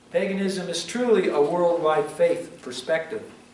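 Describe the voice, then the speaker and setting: A man's high-pitched voice, with ordinary pitch variation, comes through audible room echo and noticeable background noise. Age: 60s. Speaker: pastor. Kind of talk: sermon.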